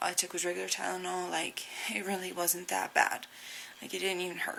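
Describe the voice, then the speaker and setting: A woman keeps up a fairly quick pace, with noticeable noise behind her. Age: 20s. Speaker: recovering drug user. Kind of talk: casual talk to camera.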